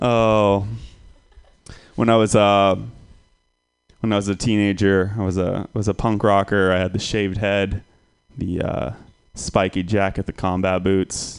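A man with a fairly low pitch speaks in a monotone, flat intonation, leaving long, frequent pauses over a quiet background. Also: fairly slow pace. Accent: American. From Santa Rosa, California. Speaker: comedian. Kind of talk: stand-up.

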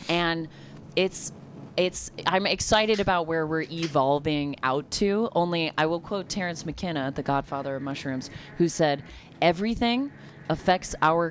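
A woman uses a normal speaking voice, fairly low in pitch, with ordinary pitch variation. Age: 30s. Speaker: comedian. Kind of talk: casual chat.

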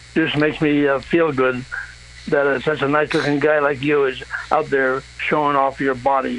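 Over noticeable background noise, a man with a fairly high pitch speaks at a moderate pace, monotone and flat, at very even loudness. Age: 80s+. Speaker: caller. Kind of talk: phone sex chat. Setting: phone call.

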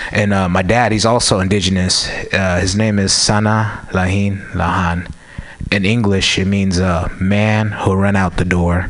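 Over noticeable background noise, a man talks at a fairly slow pace in a fairly low, monotone voice with flat intonation. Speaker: stand-up comedian. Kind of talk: stand-up. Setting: stage with audience.

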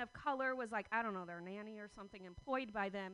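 A woman's raised, projected voice at a very fast pace. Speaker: comedian. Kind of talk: stand-up. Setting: stage with audience. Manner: halting.

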